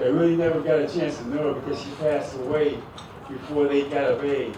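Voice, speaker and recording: A man talks at a fairly quick pace in a flat monotone, with audible room echo and noticeable background noise. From Oakland, California. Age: 50s. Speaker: former pro basketball player, hall of fame inductee. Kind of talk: acceptance speech.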